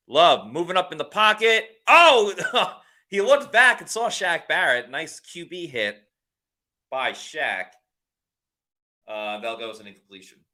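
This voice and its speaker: The pace is fairly slow, with long, frequent pauses and big swings in loudness, in a slight New York accent. The pitch swings very widely, and the tone is bright and sharp. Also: man, high pitch for a man, very clean recording, silent background. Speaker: sports livestream host. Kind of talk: live game reaction commentary. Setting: live stream.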